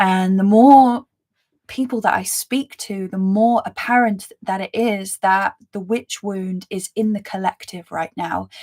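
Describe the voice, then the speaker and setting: Dry and close with no echo, a woman's medium-pitched voice moves at a fairly slow pace with fairly even intonation. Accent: London. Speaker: spiritual reader and mentor. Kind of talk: live stream reading chat. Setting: live stream with chat. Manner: casual, filler-heavy.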